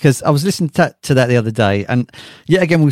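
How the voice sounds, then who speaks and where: On a very clean recording with a silent background, a man with an English accent sounds dry and close, with no echo. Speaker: podcast host. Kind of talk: casual interview.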